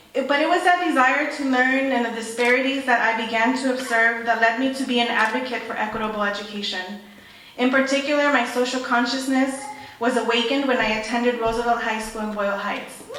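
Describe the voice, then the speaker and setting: A woman with an American accent talks very fast at a high pitch and with fairly even intonation, amid noticeable background noise and audible room echo. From South Central Los Angeles. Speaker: guest speaker, education advocate. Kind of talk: ceremony speech.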